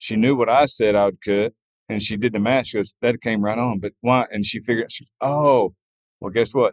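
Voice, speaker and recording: With a Southern US accent, a man speaks at a medium pitch with ordinary pitch variation in a dry, close sound with no echo. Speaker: farrier. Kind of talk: interview answer. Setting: outdoors, noisy venue with background music.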